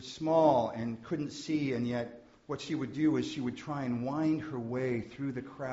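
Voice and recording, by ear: The text is read aloud in a natural voice.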